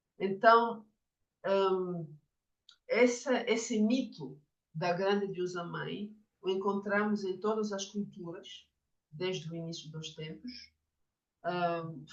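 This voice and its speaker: In a room with audible echo, a woman speaks very slowly at a medium pitch with ordinary pitch variation. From France. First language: French (speaking Portuguese). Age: 50s. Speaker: Jungian psychotherapist and author. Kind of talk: lecture. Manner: halting, with many fillers.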